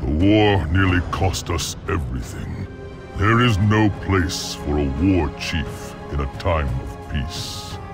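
Over clear background music, a man slowly performs a put-on character voice, low-pitched with vocal fry and lively intonation.

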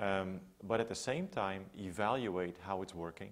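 A man with a Dutch accent speaks in a very deep, low voice. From Netherlands, Amsterdam area. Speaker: public health researcher. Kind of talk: interview. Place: home room. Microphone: lapel.

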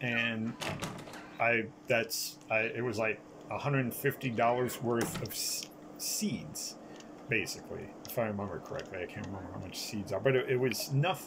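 Fairly slow speech from a man of medium pitch, with ordinary pitch variation and noticeable background noise. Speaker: gaming YouTuber. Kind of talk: gameplay commentary. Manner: halting, many fillers.

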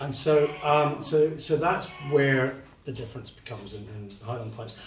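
Against noticeable background noise, a man talks with big swings in loudness. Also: ordinary pitch variation, moderate pace. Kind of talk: casual explanation. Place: home room. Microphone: camera far.

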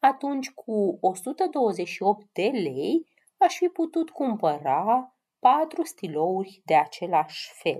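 The tone is dark and mellow with a slightly husky edge. Pitch swings in a big way. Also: woman.

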